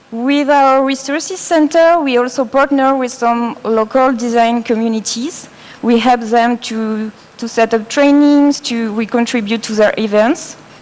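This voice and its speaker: A woman with a French accent, high-pitched and fairly slow, with ordinary pitch variation over noticeable background noise. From France. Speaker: design educator. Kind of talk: presentation. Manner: halting.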